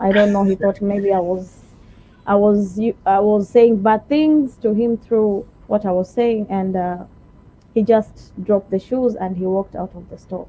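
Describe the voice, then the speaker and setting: Her voice has a medium pitch and a dark, mellow tone, with fairly even intonation. She talks at a fairly slow pace, her loudness swinging widely. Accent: Kenyan. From Kenya, Kilifi (Giriama). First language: Giriama. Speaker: shop salesperson. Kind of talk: interview.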